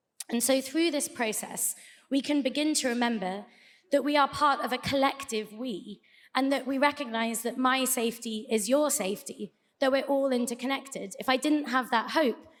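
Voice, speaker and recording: This woman has a British accent. Her pitch is high. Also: fairly even intonation, moderate pace. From UK. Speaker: debate speaker. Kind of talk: debate speech.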